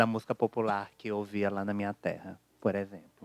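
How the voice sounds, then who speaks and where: The speaker has an interior Brazilian accent and a fairly quick pace. The recording is very clean, with a silent background. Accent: non-carioca accent from interior of Brazil. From interior of Brazil. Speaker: audience member. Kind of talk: audience question.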